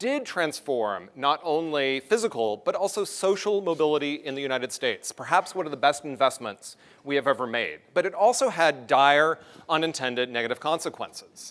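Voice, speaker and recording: In an American accent, a man speaks at a fairly high pitch with lively intonation. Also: fairly quick pace. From US North. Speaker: transportation planner, keynote speaker. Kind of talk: conference keynote speech. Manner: fast.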